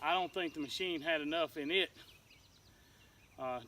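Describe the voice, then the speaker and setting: A man with a Southern US accent, fairly high in pitch, at a moderate pace with ordinary pitch variation. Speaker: homesteader. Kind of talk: casual vlog.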